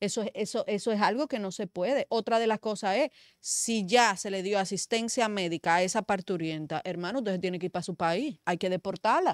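A woman speaks at a fairly quick pace and medium pitch with ordinary pitch variation and hardly any pauses. The sound is dry with no echo against a quiet background. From Dominican Republic. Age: young. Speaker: media commentator. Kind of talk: political talk show discussion. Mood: indignant, argumentative. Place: studio. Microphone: studio mic.

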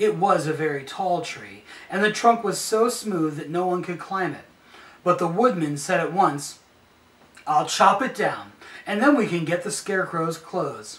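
A man talks at a moderate pace with long, frequent pauses. His loudness swings widely. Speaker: storyteller. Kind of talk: reading a story aloud. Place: home room. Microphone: camera far.

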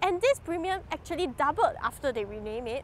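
A woman with a high pitch speaks at a fairly quick pace. The sound is dry with no echo, with light background noise. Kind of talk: speech to camera on rights issues. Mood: earnest, critical, questioning. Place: garden. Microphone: lapel.

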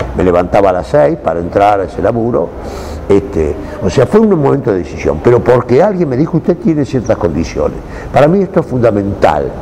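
Over noticeable background noise, a man of medium pitch talks at a fairly quick pace with very wide pitch swings. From Buenos Aires, Argentina. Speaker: actor. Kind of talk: interview. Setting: cultural center.

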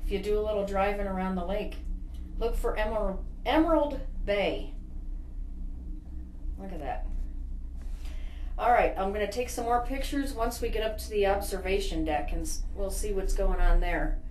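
A woman speaks with long, frequent pauses amid light background noise and audible room echo. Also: moderate pace. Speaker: travel video host. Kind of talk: casual travel commentary. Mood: cheerful, admiring. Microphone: phone near.

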